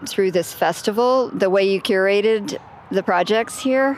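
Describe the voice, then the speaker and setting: A woman in a medium register keeps her intonation fairly even while noticeable noise runs behind her. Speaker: radio host. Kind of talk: radio interview.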